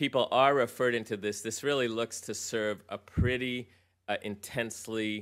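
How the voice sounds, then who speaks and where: The recording is very clean, with a silent background. A man with an American accent speaks at a medium pitch in a flat monotone. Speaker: physician, health program leader. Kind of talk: conference presentation. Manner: fast.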